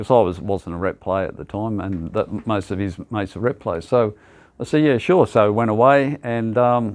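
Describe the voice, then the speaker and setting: A man speaks at a moderate pace with a fairly low pitch. His pitch varies in an ordinary way against a quiet background. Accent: Australian. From Australia, Sydney (Sutherland Shire). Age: 70s. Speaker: basketball club founder. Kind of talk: interview. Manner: hesitant, many fillers.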